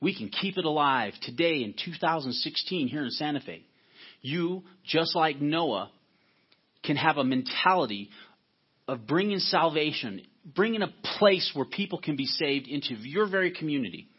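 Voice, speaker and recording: With an unremarkable speaking voice, a man talks at a moderate pace, his pitch fairly high and his intonation lively. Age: 40s. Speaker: pastor. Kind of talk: sermon.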